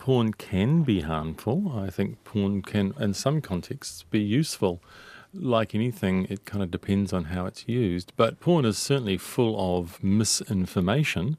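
A man speaks with fairly low pitch. His intonation is lively. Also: fairly slow pace. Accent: New Zealand. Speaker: sex therapist. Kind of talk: live radio advice call-in. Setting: studio.

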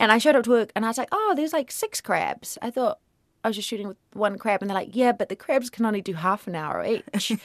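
A woman with a New Zealand accent speaks very fast with lively intonation in a fairly high pitch. The sound is dry and close, with no echo. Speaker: actor. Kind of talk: radio interview.

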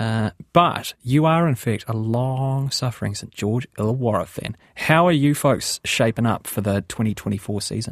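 Speaking with a New Zealand accent and hardly any pauses, a man uses a medium pitch with ordinary pitch variation, his voice dry and close with no echo in a very clean recording with a silent background. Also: moderate pace. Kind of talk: radio interview. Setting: studio.

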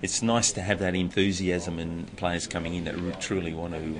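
In an Australian accent, a man with a very deep, low pitch speaks at a moderate pace in a flat monotone, with noticeable background noise behind him. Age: 50s. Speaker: hockey coach. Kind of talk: interview.

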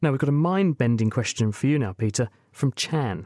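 With a British accent and lively intonation, a man talks fairly quickly in a very clean recording with a silent background. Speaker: science radio host. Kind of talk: radio science Q&A panel. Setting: studio.

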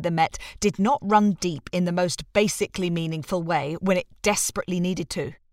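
A woman with a British accent speaks at a moderate pace and medium pitch. The recording is very clean, with a silent background and a dry, close sound with no echo. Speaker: narrator reading articles. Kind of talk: reading aloud.

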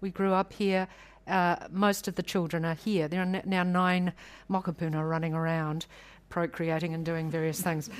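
In a New Zealand accent, a woman talks at a moderate pace with a fairly low pitch and flat, monotone intonation, recorded very cleanly against a silent background. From New Zealand, South Island. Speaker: public law expert. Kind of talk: panel discussion. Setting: stage with audience.

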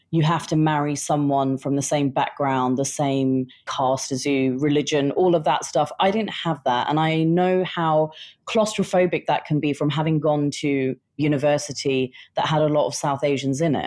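A woman's very deep, low voice with a dark, mellow tone, a British accent and very even loudness. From England, British Indian family. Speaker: writer. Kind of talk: interview.

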